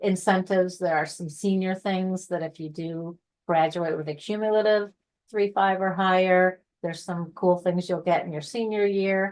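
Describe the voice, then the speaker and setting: Against a quiet background, a woman speaks at a medium pitch with monotone, flat intonation. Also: moderate pace. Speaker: honor society staff presenter. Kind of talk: online info session presentation.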